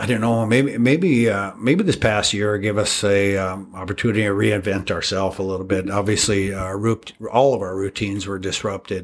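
With an Upper Midwest accent, a man talks with hardly any pauses and fairly even intonation. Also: fairly low pitch for a man, moderate pace. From North Dakota, Devils Lake. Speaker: steakhouse owner. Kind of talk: interview. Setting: construction site.

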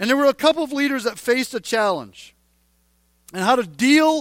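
A man speaks at an extremely high pitch with lively intonation on a very clean recording against a silent background. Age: 40s. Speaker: pastor. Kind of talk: sermon. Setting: church. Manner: casual, conversational.

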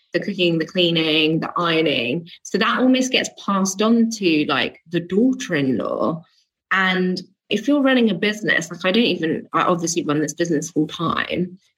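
A woman with a British accent talks at a moderate pace and medium pitch, her intonation lively. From England. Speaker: business coach for entrepreneurs. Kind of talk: interview. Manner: casual, with frequent fillers.

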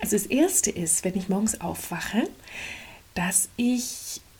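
Over noticeable background noise, a woman at a medium pitch sounds energetic, her intonation lively. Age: 50s. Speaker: life coach podcaster. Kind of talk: motivational monologue.

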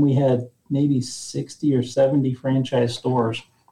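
A man's somewhat breathy voice. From rural central Nebraska. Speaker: retail company president. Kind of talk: interview.

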